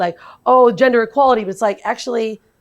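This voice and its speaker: Against a quiet background, a woman speaks in an animated tone with lively intonation. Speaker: podcast host. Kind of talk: interview conversation. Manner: loud.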